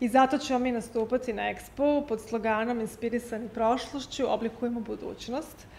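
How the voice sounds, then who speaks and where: With hardly any pauses, a woman speaks at a very fast pace in a monotone, flat intonation over light background noise. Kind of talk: interview answer. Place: hall.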